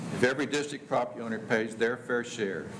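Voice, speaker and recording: Over noticeable background noise and audible room echo, a man with a medium pitch speaks at a fairly quick pace with ordinary pitch variation. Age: 70s. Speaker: public commenter at county meeting. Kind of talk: public comment at government meeting. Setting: county commissioners court meeting.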